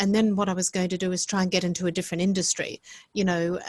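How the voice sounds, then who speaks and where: The speaker is a woman with an Australian accent. Her intonation is monotone and flat. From Australia (Brisbane), Italian household. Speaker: hotel executive. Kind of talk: podcast interview. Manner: halting, many repetitions.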